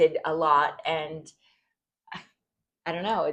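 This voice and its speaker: A woman speaks with an American accent. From California. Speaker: interior designer, podcast guest. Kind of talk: interview storytelling. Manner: halting with fillers.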